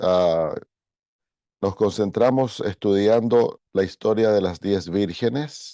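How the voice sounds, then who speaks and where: Over a quiet background, a man speaks at a very slow pace with a fairly low pitch, ordinary pitch variation and very even loudness, in a dry, close sound with no echo. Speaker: pastor. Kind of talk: bible study lecture.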